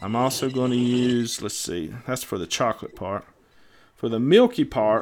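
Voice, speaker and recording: A man with a Southern US accent at a moderate pace. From US South. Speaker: DIY e-liquid mixer, show co-host. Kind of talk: casual livestream chat while mixing. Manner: halting, many fillers.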